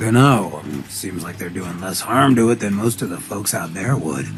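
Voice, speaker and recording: Over clear background noise, a man puts on a character voice in a fairly low pitch at a moderate pace. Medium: video game. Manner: blunt, sardonic.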